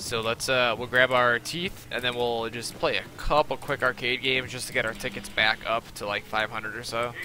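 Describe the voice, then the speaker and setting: A man's fairly even intonation at a moderate pace, dry with no echo, over faint background music. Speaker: gaming streamer; streamer. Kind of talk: live gameplay commentary. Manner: casual, filler-heavy. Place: home room. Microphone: headset.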